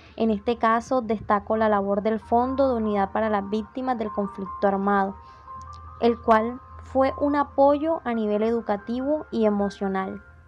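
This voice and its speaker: Music plays in the background. A woman speaks fairly slowly in a fairly high voice with ordinary pitch variation. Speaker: industrial engineering student. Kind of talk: interview answer.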